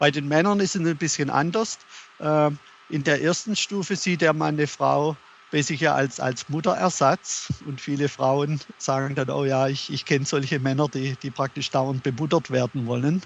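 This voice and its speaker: His voice sits fairly high for a man, and he speaks at a moderate speed. The rise and fall of his pitch is ordinary. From Germany. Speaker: author. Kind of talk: interview. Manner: halting.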